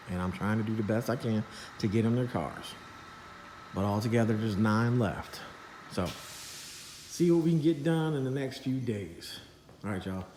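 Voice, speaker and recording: Amid noticeable background noise and audible room echo, a man at medium pitch talks at a moderate pace with lively intonation. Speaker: custom car shop owner. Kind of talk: casual workshop vlog. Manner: stuttering, disjointed.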